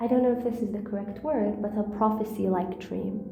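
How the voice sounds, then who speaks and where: A fairly high-pitched woman with a non-native accent and ordinary pitch variation, with audible room echo. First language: not English. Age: 20s. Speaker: storyteller. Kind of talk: personal storytelling monologue. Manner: halting.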